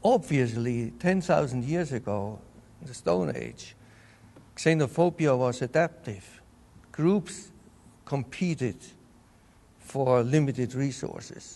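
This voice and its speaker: In a Bavarian accent, a man with a dark, mellow tone and medium pitch speaks at a very slow pace with long, frequent pauses and lively intonation. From Bavaria, Germany. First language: German. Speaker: entomologist. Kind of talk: interview.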